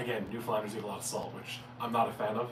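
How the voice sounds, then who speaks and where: A man's voice comes with noticeable background noise and some audible echo from the room. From Newfoundland, Canada. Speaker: cooking channel host, chef. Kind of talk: casual livestream Q&A. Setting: live stream. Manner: fast.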